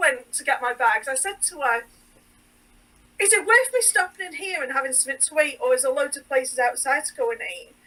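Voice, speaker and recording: In an English accent, a raised, projected voice with a bright, sharp tone moves at a fairly quick pace. The pitch swings very widely. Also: woman. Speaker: sewing designer. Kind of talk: casual podcast chat.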